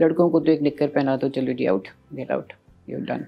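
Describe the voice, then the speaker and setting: This woman's voice sits very deep and low, with a dark, mellow tone. Vocal fry runs through her speech. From Pakistan. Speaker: radio broadcaster. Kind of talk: interview answer.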